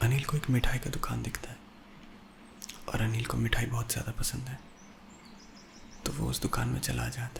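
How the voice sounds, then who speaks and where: In a relaxed tone, a man talks at a moderate pace with long, frequent pauses over noticeable background noise. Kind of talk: horror storytelling for sleep, ASMR narration. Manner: soft, relaxed narration.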